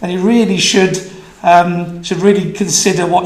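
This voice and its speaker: A man with a Welsh accent speaks in a high voice, with audible room echo and noticeable background noise. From Wales. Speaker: business consultant. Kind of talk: conference talk. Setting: stage with audience. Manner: fast.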